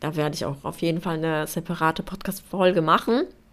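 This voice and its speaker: A woman talks at a fairly quick pace. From Poland. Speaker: podcast host. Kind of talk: casual solo monologue.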